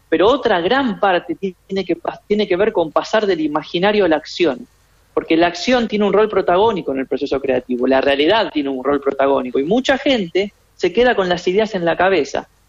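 A man speaks with an Argentine accent at a high pitch and a fairly quick pace. His pitch swings very widely. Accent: Rioplatense Argentine Spanish. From Argentina. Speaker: creativity expert. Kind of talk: radio interview.

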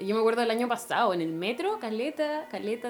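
This woman's pitch is fairly high. She moves at a moderate pace with lively intonation. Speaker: activist. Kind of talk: casual chat.

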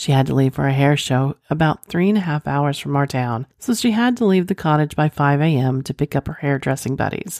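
A woman's very deep, low voice with lively intonation, a fairly quick pace, hardly any pauses, and a dry, close sound with no echo. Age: 40s. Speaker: podcast host. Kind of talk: reading aloud listener stories.

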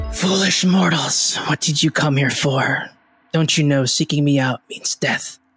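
A put-on character voice at middle pitch and moderate pace, with faint music in the background. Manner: snarling, hateful, threatening.

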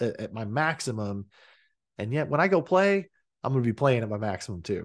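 A man with an American accent at a moderate pace, his intonation lively, against a quiet background. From Oklahoma and Texas. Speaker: director at a coaching company. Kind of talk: casual interview chat.

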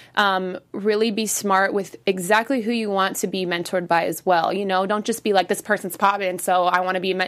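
With an American accent, a woman talks at a fairly quick pace and medium pitch, her intonation monotone and flat, with hardly any pauses. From San Francisco Bay Area, California. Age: 20s. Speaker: dancer and choreographer. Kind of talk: casual interview chat. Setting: studio.

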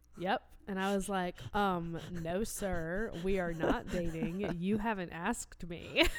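A woman with an American accent talks very slowly in a medium pitch, keeping her intonation fairly even. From North Carolina, near Raleigh. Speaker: podcast co-host. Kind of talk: casual chat. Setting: home recording with spouse.

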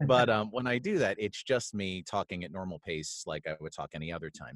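A fairly low-pitched man talks at a fairly quick pace. The recording is very clean, with a silent background. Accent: American. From US. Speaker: voiceover artist and narrator. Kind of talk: interview.

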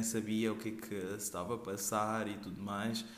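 There is audible room echo around a man speaking with a fairly low pitch. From Portugal. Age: 20s. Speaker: podcaster. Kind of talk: casual monologue. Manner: hesitant.

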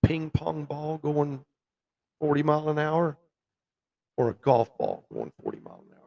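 A man speaks fairly slowly in a dark, mellow tone with monotone, flat intonation. He takes long, frequent pauses, and the sound is dry and close with no echo. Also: fairly high pitch for a man, big swings in loudness. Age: 60s. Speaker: bowhunter and record measurer. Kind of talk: casual interview. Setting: live at a festival, in a lobby.

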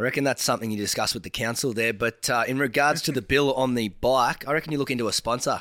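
A man with an Australian accent talks at a very fast pace in a medium pitch, his bright, sharp tone and fairly even intonation captured in a very clean recording with a silent background. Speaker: podcast co-host. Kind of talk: casual chat.

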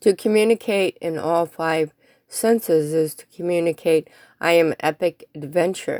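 In an unremarkable speaking voice, a woman with a fairly low pitch and ordinary pitch variation talks at a fairly slow pace with big swings in loudness, in a dry, close sound with no echo on a very clean recording with a silent background. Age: 50s. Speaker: blogger reading own posts. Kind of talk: reading aloud.

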